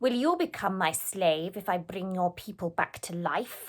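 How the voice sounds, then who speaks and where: At a moderate pace, a woman uses a put-on character voice with medium pitch. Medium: read story. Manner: menacing.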